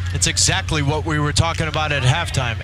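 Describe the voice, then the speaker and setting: Over music in the background, a man talks with a very deep, low pitch. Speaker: co-commentator / match analyst. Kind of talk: live sports commentary (analyst) with tactical breakdown. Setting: broadcast booth, recorded TV match feed. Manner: fluent, confident, explanatory.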